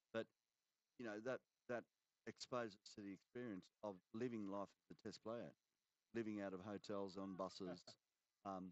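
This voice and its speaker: A man speaks with an Australian accent at a moderate pace and a fairly low pitch. His pauses are long and frequent. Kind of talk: live commentary; casual chat. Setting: commentary box. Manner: halting.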